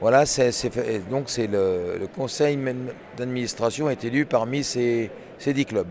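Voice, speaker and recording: A man's medium-pitched, very slow speech with ordinary pitch variation, over noticeable background noise. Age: 70s. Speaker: sports club president. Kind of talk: interview. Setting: at a sports event venue. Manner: halting, many fillers.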